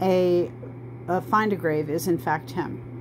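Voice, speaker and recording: Noticeable background noise sits behind a woman speaking in a very deep, low pitch. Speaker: genealogy researcher. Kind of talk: tutorial. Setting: in bed, recording herself. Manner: casual, with fillers and self-corrections.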